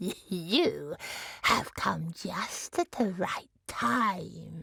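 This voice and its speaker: A female-sounding, put-on character voice cackles at a very slow pace. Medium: read story. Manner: mocking, cackling.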